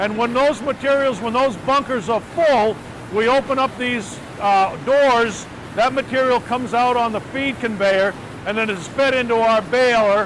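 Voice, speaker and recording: Amid noticeable background noise, a man with an extremely high pitch speaks at a moderate pace with ordinary pitch variation in a dry sound with no echo. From Massachusetts, US. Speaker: recycling company owner. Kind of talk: presentation and facility tour narration. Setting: video call. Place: office. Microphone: video call.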